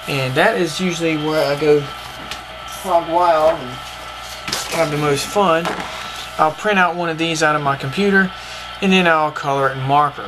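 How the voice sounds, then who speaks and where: Fairly high-pitched man with an American accent at a moderate pace, with fairly even intonation, long, frequent pauses and music in the background. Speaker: cartoonist. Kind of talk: casual art tutorial to camera.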